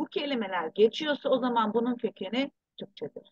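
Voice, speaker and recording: A woman speaks at a fairly slow pace with a fairly high pitch and ordinary pitch variation. The sound is dry and close, with no echo. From abroad, returned to Turkey in 1984. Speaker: researcher and author. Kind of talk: interview.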